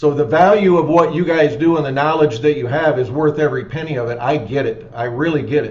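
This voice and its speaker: With noticeable background noise behind him, a man talks fairly quickly with hardly any pauses, using a fairly high pitch and ordinary pitch variation. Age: 50s. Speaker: roofing company owner. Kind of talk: webinar Q&A.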